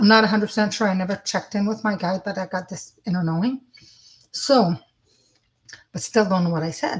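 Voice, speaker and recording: A woman speaks at a medium pitch with ordinary pitch variation. Her voice is somewhat breathy, and she takes long, frequent pauses. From French-speaking. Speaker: psychic medium. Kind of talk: live spiritual reading stream. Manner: fast; casual, halting.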